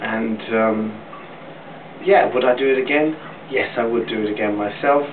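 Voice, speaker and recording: Noticeable background noise sits under a man's voice. He keeps a moderate pace with ordinary pitch variation and long, frequent pauses. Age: 40s. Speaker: vlogger sharing cosmetic surgery experience. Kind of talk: personal video update. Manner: hesitant, with frequent fillers. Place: bathroom. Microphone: webcam.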